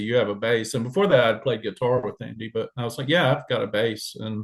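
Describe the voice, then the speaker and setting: Speaking at a fairly quick pace, a man with an Alabama accent talks at a medium pitch. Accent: Southern US (Alabama). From US South, Alabama. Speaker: musician, bassist and vocalist. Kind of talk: interview. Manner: casual.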